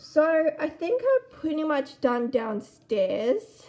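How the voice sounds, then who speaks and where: A woman speaks loudly at a very slow pace. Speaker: gaming YouTuber. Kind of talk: gameplay commentary. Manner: casual.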